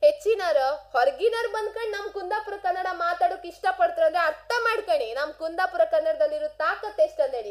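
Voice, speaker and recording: A woman speaks with a coastal Karnataka accent at an extremely high pitch. Her pitch swings very widely. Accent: Kundapura Kannada dialect. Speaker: radio host. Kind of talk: radio monologue. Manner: animated.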